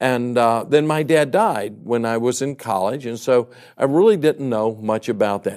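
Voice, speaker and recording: In a very clean recording with a silent background, a man with an American accent talks at medium pitch and a moderate pace with ordinary pitch variation. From US South, Baton Rouge, Louisiana. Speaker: evangelist. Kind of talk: sermon.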